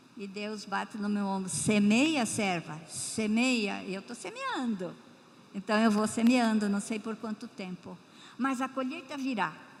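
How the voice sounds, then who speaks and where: A woman's fairly high voice with ordinary pitch variation at a fairly slow pace, against noticeable background noise. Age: 80s+. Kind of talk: missionary testimony in church. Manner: warm, emotional, with hesitations.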